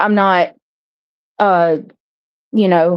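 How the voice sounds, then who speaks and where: A woman speaks in a Southern US accent at a medium pitch. She moves at a fairly slow pace with ordinary pitch variation. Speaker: live stream host. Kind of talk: casual chat. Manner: halting.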